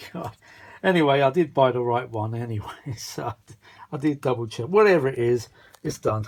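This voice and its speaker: Using lively intonation, a man at a medium pitch talks at a fairly quick pace, broken by long, frequent pauses. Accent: British. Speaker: vintage audio repair hobbyist. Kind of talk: casual hands-on repair vlog. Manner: muttering to himself, halting.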